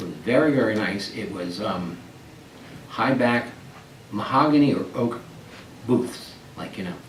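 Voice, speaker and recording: A man with an American accent speaks at a medium pitch and a fairly slow pace, leaving long, frequent pauses and swinging widely in loudness. The recording has audible room echo and noticeable background noise. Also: ordinary pitch variation. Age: 60s. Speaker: oral history interviewee, retiree. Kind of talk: oral history interview. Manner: halting with repetitions.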